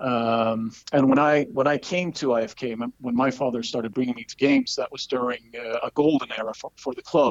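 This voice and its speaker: In a dry, close recording with no echo, a man with a Swedish accent talks at a medium pitch and a moderate pace, with hardly any pauses. His intonation stays fairly even while his loudness swings widely. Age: 30s. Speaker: football fan club chairman. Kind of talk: interview.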